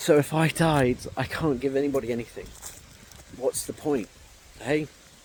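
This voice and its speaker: A man with a fairly high pitch keeps his intonation fairly even as noticeable background noise sounds behind him. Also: moderate pace. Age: 30s. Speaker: vlogger. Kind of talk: emotional personal vlog. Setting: outdoors in a park. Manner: halting.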